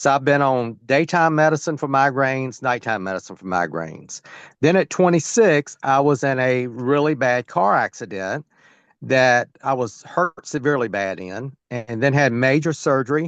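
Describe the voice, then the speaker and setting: Against a quiet background, a man with an ordinary speaking voice talks at a medium pitch and moderate pace with lively intonation, the sound dry and close with no echo. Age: 60s. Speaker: sales team member. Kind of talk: testimony. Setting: video call on phone.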